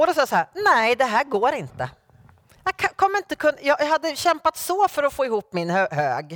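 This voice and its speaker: The voice swings very widely in pitch at a moderate pace. The sound is dry and close, with no echo. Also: woman, high pitch for a woman. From Sweden, Norrköping. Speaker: guest preacher. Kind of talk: sermon. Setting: church.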